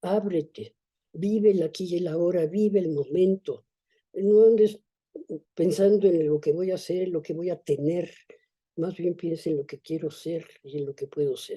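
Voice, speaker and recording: A woman with a fairly low pitch and a dark, mellow tone speaks at a moderate pace with fairly even intonation. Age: 80s+. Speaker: author. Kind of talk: interview conversation.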